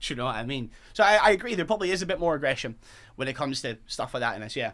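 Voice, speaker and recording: With a Fife accent, a man speaks in a bright, sharp tone and lively intonation. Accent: Scottish, Fife. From Fife, Scotland. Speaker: football fan. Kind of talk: casual chat. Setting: studio.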